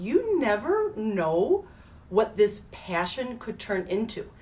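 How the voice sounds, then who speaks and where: Noticeable background noise sits behind this woman's voice. Her pitch is fairly high and swings very widely. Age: 40s. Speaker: hair stylist and business owner. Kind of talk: casual live video talk. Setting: live stream. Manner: chatty with many fillers.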